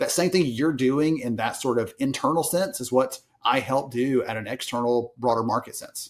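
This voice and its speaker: Speaking at a moderate pace with hardly any pauses, a man with a strong Southern US accent uses a medium pitch and ordinary pitch variation. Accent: thick Southern US. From US South, small town. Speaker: HR industry analyst and author. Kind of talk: podcast interview.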